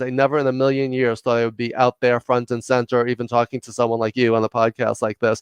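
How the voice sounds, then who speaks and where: A man with a New York accent, in a dry, close sound with no echo and a quiet background. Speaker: leadership consultant and executive coach. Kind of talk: podcast interview. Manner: fast; loud.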